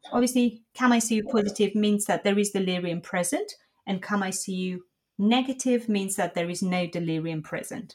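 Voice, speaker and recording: Somewhat breathy and with a non-native accent, a woman talks at a moderate pace with ordinary pitch variation. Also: medium pitch for a woman. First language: not English. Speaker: intensive care nurse. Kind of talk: educational podcast discussion.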